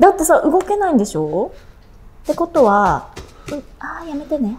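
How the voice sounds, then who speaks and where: Pitch swings very widely in this voice at a fairly slow pace. Light background noise runs underneath. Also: woman. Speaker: gamer. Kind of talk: gameplay reaction commentary. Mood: scared, apologetic, nervous. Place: home room.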